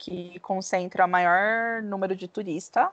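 A woman with an ordinary speaking voice at a medium pitch, fairly slow pace and fairly even intonation, in a dry, close recording with no echo and a quiet background. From Brazil, Bauru, interior of São Paulo state. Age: 30s. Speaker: podcast co-host, travel consultant. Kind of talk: casual chat.

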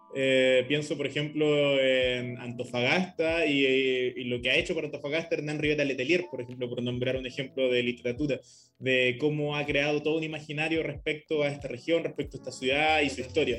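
This man speaks with a Chilean accent at a fairly high pitch and a fairly quick pace. His intonation stays fairly even over noticeable background noise. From Chile, Copiapó. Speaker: podcast host. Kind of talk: casual discussion.

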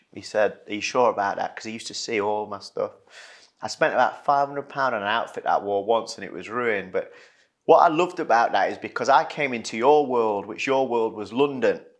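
Speaking at a fairly quick pace with an East Midlands accent, a man's medium-pitched voice shows ordinary pitch variation and big swings in loudness against a quiet background. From Retford, Nottinghamshire, England. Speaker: podcast host, former footballer. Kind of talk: casual chat.

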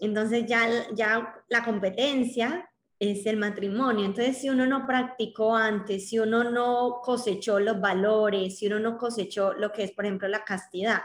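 A woman speaks in a plain, everyday voice at a fairly high pitch and fairly slow pace, her intonation fairly even and her loudness very even. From Colombia. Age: 20s. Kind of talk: interview conversation.

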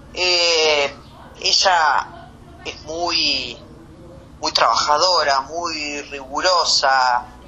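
The speech comes at a very slow pace, broken by long, frequent pauses, with fairly even intonation. Noticeable background noise sits under the voice. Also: woman, very deep, low pitch for a woman. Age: 50s. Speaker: anesthesiologist. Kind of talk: interview.

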